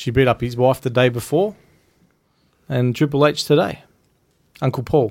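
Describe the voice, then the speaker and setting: A man with an Australian accent talks at a moderate pace and medium pitch. His pitch varies in an ordinary way, and he takes long, frequent pauses. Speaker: wrestling podcast co-host. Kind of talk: casual chat.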